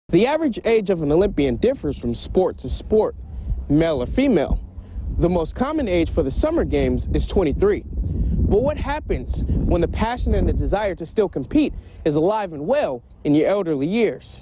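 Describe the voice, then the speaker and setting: Amid noticeable background noise, a man with an American accent talks at a moderate pace. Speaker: sports reporter and anchor. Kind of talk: TV sports news reporter voiceover.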